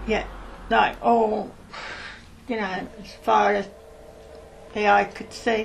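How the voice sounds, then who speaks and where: A woman at a very slow pace, with big swings in loudness, long and frequent pauses, audible room echo and noticeable background noise. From Birmingham, England (Hockley). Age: 70s. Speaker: oral history interviewee. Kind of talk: oral history interview.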